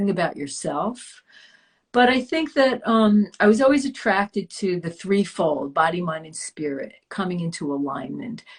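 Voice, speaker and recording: Somewhat breathy, a woman of medium pitch speaks at a moderate pace, with very wide pitch swings and big swings in loudness. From US Northeast (Long Island, New York). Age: 60s. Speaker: yoga teacher and wellness coach. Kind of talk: interview. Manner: halting.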